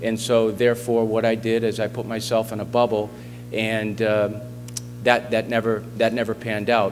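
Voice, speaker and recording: The pace is moderate. Music plays in the background. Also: man. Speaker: guest, sports coach. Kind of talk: speech to a school assembly. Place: hall. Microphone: podium.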